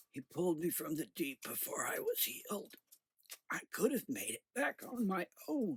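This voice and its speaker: A raspy, put-on character voice sits at a middle pitch. It moves along at a moderate pace. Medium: read story. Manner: halting, breathless.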